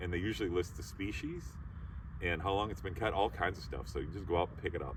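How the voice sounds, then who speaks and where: The speaker is a man. He has a very deep, low pitch. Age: 60s. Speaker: YouTuber. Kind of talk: tutorial. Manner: casual.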